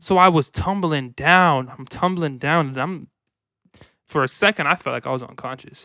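With an American accent, this bright, sharp voice sounds animated, moving at a moderate pace with ordinary pitch variation. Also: man, fairly high pitch for a man. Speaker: podcast co-host. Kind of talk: casual comedic chat.

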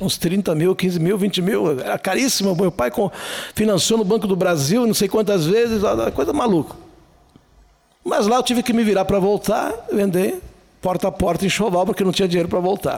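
Pausing long and often, a man talks at a moderate pace and high pitch, with ordinary pitch variation and very even loudness. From southern Brazil, Serra Gaúcha (Flores da Cunha). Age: 60s. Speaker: writer and speaker. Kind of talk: casual interview.

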